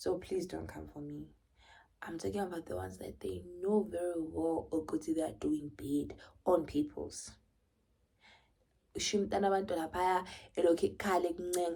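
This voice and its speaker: This woman with a Zulu accent speaks at a moderate pace in an animated tone, with big swings in loudness. Her pauses are long and frequent. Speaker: vlogger. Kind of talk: casual monologue vlog.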